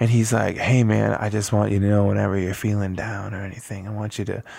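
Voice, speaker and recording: A man with an American accent and a normal speaking voice, fairly low in pitch, at a fairly quick pace. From northern Wisconsin (Eau Claire). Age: 30s. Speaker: musician. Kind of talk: casual interview. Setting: home basement studio.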